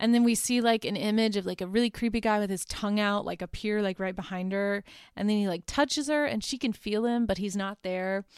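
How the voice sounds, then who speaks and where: Speaking at a fairly quick pace with hardly any pauses, a woman has a medium-pitched voice on a very clean recording with a silent background. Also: ordinary pitch variation. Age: 20s. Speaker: podcast host, law student. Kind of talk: casual monologue recapping movie plots. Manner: frequent fillers (um, uh), informal.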